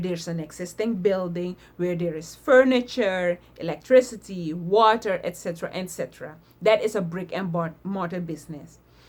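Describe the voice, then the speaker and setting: A woman of medium pitch talks at a moderate pace, her pitch varying in an ordinary way. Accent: non-native. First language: not English. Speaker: online business vlogger. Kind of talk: casual talk to camera. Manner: hesitant; tongue clicking.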